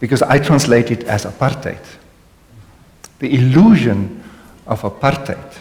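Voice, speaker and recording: Lively intonation marks this voice with a South African accent, heard with audible room echo. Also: man. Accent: Afrikaans South African English. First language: Afrikaans. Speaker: panel speaker on contemplative spirituality. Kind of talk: panel conversation with audience. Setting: hall with live audience. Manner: reflective, some hesitations.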